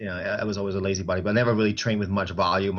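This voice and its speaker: A man is speaking. His pitch sits fairly low. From Germany, Stuttgart. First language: German. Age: 40s. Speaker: personal trainer and bodybuilder. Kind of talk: interview.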